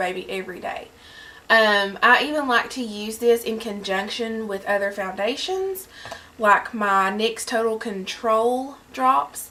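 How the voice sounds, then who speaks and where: A woman speaks with a Southern US accent. Her pitch is fairly high, with ordinary variation. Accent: Southern US drawl. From Southern United States. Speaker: beauty vlogger. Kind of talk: casual talk to camera. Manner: chatty, enthusiastic.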